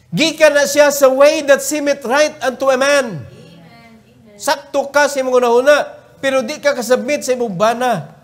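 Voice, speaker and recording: An extremely high-pitched male voice, fairly even in intonation, at a moderate pace. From Cebu, Philippines. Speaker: preacher. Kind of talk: sermon; fervent prayer, pleading and earnest, closing the meeting. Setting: church. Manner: emphatic, preaching with repeated commands; earnest, pleading. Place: church. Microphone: podium.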